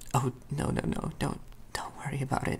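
Someone is whispering at a moderate pace. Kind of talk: character dialogue, role-play. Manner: soft, flustered reassuring murmur.

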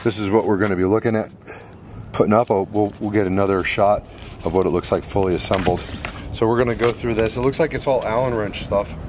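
Over faint background noise, a man talks with fairly even intonation at a fairly low pitch.

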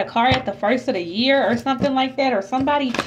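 Noticeable background noise sits behind a high-pitched woman. She speaks at a very fast pace with ordinary pitch variation. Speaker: tarot reader. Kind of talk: casual tarot reading monologue. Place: home room.

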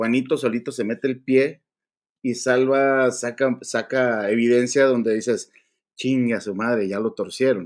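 With a normal speaking voice, the speaker reads at a fairly slow pace and fairly even intonation over a quiet background. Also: man, medium pitch for a man. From Mexico. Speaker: livestream host. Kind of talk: casual livestream chat. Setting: live stream. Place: home room. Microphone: earbuds.

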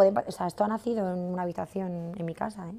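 At a fairly quick pace, a woman speaks with a dark, mellow tone and fairly even intonation. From Madrid, Spain; Spain. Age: 30s. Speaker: fashion entrepreneur; masterclass teacher. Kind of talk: masterclass talk. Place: studio.

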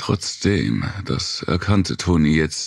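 A man's very deep, low voice with vocal fry, very slow and intense and menacing, with lively intonation over a quiet background. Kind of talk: dramatic audiobook narration of a horror novel. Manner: intense, menacing, shifting between narration and character voices.

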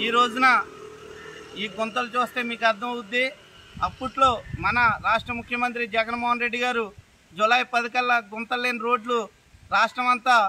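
A man's extremely high, bright and sharp voice, raised and projected, in a flat monotone over light background noise. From Konaseema, Andhra Pradesh; Andhra Pradesh. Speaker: local party activist. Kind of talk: on-location political protest statement. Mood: critical, satirical complaint. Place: open country.

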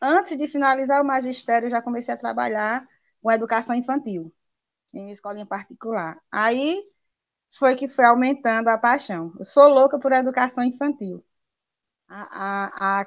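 A woman at a fairly slow pace, with ordinary pitch variation, big swings in loudness and long, frequent pauses, against a quiet background. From Paraíba, Brazil (Princesa Isabel, rural); Paraíba, Brazil. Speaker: primary school teacher. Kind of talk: interview. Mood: warm, passionate, smiling. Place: home room. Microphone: video call.

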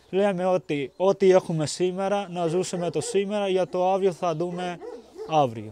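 With noticeable background noise behind him, a man talks at a high pitch and with ordinary pitch variation. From Pakistan. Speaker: refugee student. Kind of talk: documentary interview.

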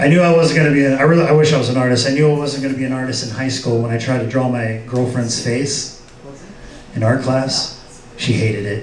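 Audible room echo surrounds a man speaking at medium pitch with fairly even intonation. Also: fairly quick pace.

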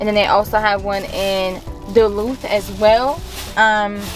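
A woman speaks at a fairly slow pace with fairly even intonation, her dry voice free of echo over faint background music. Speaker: vlogger. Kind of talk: casual vlog chat. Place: car. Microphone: phone near.

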